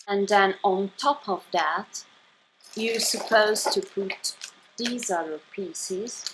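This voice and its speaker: With a non-native accent, a woman speaks at a very slow pace, with a medium pitch and ordinary pitch variation. Noticeable background noise can be heard. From Italy. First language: Italian. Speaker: YouTuber. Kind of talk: unboxing haul video. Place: home room. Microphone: phone near.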